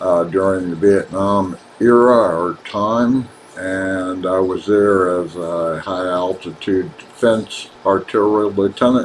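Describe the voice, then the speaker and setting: A man's very deep, low voice with an American accent, very slow in pace with hardly any pauses and fairly even intonation, over noticeable background noise. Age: 70s. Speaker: author. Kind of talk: personal video monologue. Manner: halting, frequent uh fillers.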